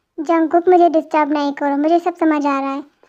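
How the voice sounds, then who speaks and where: This is a put-on character voice. It moves at a very fast pace with monotone, flat intonation. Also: woman, high pitch for a woman. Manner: angry, shouting.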